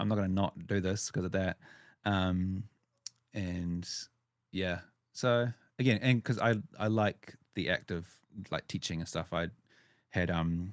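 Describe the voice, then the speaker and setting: In a very clean recording with a silent background and a dry, close sound with no echo, a man with a New Zealand accent speaks. His very deep, low voice moves at a fairly slow pace with fairly even intonation and long, frequent pauses. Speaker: wedding videographer and podcast host. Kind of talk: casual interview chat. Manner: halting, with repetitions.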